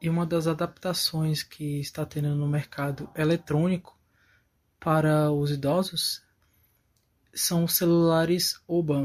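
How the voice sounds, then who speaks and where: On a very clean recording with a silent background, a man speaks in a monotone, flat intonation at a fairly high pitch and a fairly slow pace. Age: 20s. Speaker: electronics technician. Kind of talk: recorded testimony.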